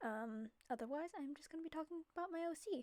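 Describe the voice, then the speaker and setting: A soft-spoken woman talks at a fairly quick pace in a dark, mellow tone with ordinary pitch variation. The sound is dry and close, with no echo. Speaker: digital artist narrating speedpaint. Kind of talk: casual voiceover monologue. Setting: home recording at night. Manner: quiet, soft-spoken; hesitant, many fillers.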